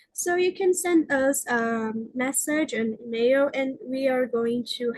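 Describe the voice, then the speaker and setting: The sound is dry and close with no echo as a woman in a Brazilian Portuguese accent speaks at a high pitch. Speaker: researcher. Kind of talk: conference presentation; Q&A answer. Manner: halting.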